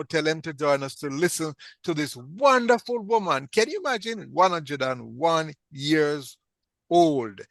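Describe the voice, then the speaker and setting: Over a quiet background, a man with an unremarkable speaking voice speaks fairly slowly at a fairly high pitch with lively intonation. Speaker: radio talk show host. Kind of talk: interview host talk.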